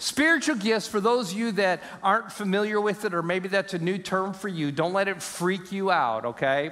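A man at a fairly quick pace with lively intonation. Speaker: pastor. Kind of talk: sermon. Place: church. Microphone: headset.

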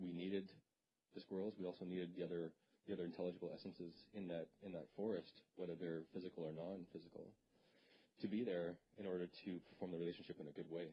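Over light background noise, a man with a Canadian accent talks at a very fast pace in a very deep, low, monotone, flat voice, broken by long, frequent pauses. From Canada (northwestern Ontario). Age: 30s. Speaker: presenter. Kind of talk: lecture. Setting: stage with audience. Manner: halting, repeats words. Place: hall. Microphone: handheld.

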